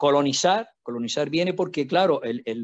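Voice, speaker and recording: Over a quiet background, a man with a fairly high pitch and ordinary pitch variation speaks at a moderate pace. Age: 60s. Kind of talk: panel talk. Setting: video call. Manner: halting, many repetitions.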